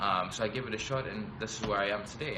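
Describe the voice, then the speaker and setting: A man talks at a moderate speed, his voice carrying audible room echo amid noticeable background noise. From Tanzania. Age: 20s. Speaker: business school student. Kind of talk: live stream talk. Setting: live video stream. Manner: hesitant, many fillers.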